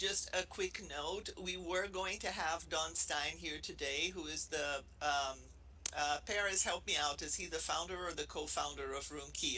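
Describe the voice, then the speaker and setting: With a Brazilian accent, a woman speaks at a moderate pace. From Brazil, Rio de Janeiro. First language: Portuguese. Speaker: professor. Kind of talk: casual chat.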